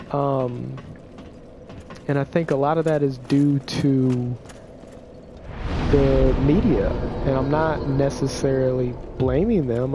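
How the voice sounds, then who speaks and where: A man talks at a very slow pace, with long, frequent pauses. Noticeable background noise runs underneath. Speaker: gaming video creator. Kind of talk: opinion monologue. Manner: halting, repeats words; casual.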